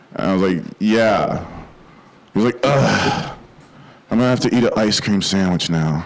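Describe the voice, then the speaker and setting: Over noticeable background noise and audible room echo, a man with an American accent speaks at a moderate pace in a fairly low pitch, with ordinary pitch variation, very even loudness and long, frequent pauses. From Minnesota, US (Bloomington). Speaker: stand-up comedian. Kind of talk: stand-up.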